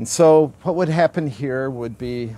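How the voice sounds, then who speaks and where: Recorded with a dry sound and no echo, a man speaks at a fairly slow pace. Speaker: presenter. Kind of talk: interview answer. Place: open country. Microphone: lapel.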